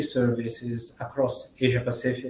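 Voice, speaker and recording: Someone speaks with an Italian accent at a moderate pace, with audible room echo. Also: man. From Italy. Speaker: management consultant. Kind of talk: conference presentation. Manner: halting.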